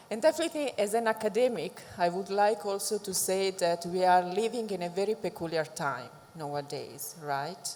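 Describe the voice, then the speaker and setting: A woman speaks at medium pitch and a moderate pace with an Italian accent. Her intonation is lively, and there is noticeable background noise. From Italy. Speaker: academic, think tank director. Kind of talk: panel discussion.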